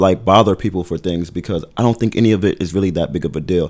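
A man with a Brooklyn accent talks at a fairly quick pace in a very clean recording with a silent background. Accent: New York (Brooklyn). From Brooklyn, New York. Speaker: event organizer, podcast co-host. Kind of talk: casual chat.

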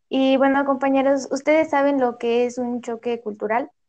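Music in the background under a woman's high voice at a moderate pace. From Mexico, Hidalgo. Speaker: language teaching student. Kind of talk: student podcast, semi-scripted chat.

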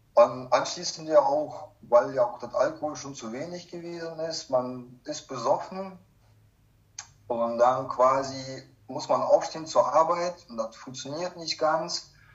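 A man speaks very slowly at a fairly high pitch, with ordinary pitch variation. His loudness swings widely, and background noise is clearly audible. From Kazakhstan, moved to Germany in 1995 as a child. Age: 30s. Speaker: recovering alcoholic sharing his life story. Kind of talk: personal testimony in interview.

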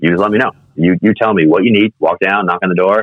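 A man talking at a very fast pace with an American accent. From US Midwest and New York City. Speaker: mortgage company CEO. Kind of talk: casual interview. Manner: halting.

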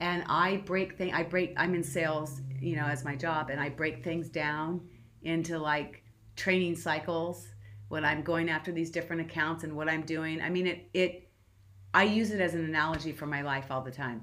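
A woman with a Californian accent, very deep and low in pitch, at a moderate pace with fairly even intonation. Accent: Californian American English. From Southern California. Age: 50s. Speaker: marathon runner. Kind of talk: interview.

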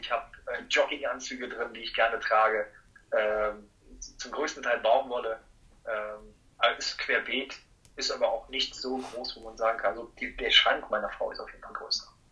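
Big swings in loudness mark a man speaking at a moderate pace. Noticeable background noise runs underneath. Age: 30s. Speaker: master dry cleaner and laundry owner. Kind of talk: casual interview.

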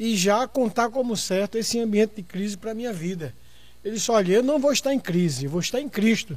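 With ordinary pitch variation, the voice comes through on a very clean recording with a silent background. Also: man. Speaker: pastor and debate show host. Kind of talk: moderated religious debate.

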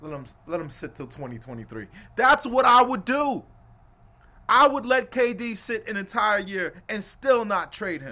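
Raised and projected, this animated voice with an American accent has a bright, sharp tone, very wide pitch swings and big swings in loudness, on a very clean recording with a silent background. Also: man, high pitch for a man, fairly slow pace. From New York City, Brooklyn. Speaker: sports podcast host. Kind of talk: casual chat.

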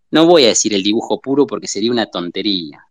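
Speaking with an Argentine accent and lively intonation, a man is heard in a dry, close sound with no echo. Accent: Rioplatense Argentine Spanish. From Argentina, southern Buenos Aires. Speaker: illustrator and art teacher. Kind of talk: casual interview chat. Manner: halting, frequent fillers.

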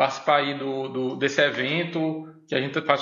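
The voice has fairly even intonation, and audible room echo can be heard. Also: man. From Northeast Brazil, Pernambuco and Mossoró. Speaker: university professor. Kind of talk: casual chat.

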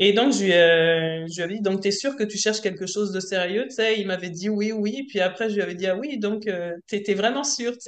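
This woman has an ordinary speaking voice with a medium pitch. She talks at a moderate pace with ordinary pitch variation. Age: 40s. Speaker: self-employed worker, coaching client. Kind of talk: casual chat.

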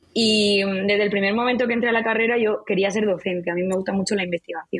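In an ordinary speaking voice, a woman talks fairly quickly at a fairly high pitch with fairly even intonation. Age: 20s. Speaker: marketing agency founder. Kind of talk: interview.

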